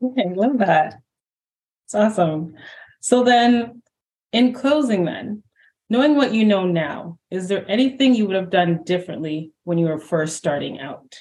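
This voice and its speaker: Speaking with a Canadian accent at a moderate pace, a somewhat breathy voice carries lively intonation. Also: woman, medium pitch for a woman. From Canada. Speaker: podcast host. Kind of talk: interview.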